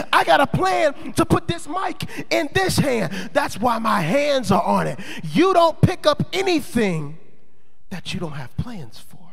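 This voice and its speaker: A man speaks at a fairly slow pace in an animated tone, with extremely high pitch, very wide pitch swings and big swings in loudness. Audible room echo and noticeable background noise surround him. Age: 20s. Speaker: pastor. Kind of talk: sermon.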